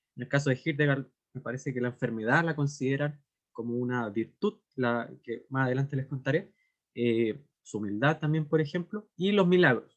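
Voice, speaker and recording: The man's voice is fairly high. Its pitch moves in an ordinary way. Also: moderate pace. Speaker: literature scholar, lecturer. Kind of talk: lecture. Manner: hesitant with fillers.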